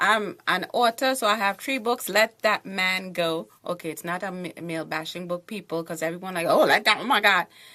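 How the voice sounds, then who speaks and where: A woman speaks with a Trinidadian accent. Her tone is bright and sharp, and her pace is moderate. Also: medium pitch for a woman, ordinary pitch variation. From Trinidad and Tobago. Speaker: author and TV show host. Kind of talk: panel discussion. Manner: animated.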